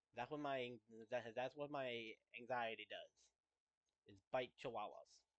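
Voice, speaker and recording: The voice is quiet and delivered at a moderate pace. Its intonation stays monotone and flat. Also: man, medium pitch for a man. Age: 20s. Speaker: gaming streamer. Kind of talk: personal monologue. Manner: halting.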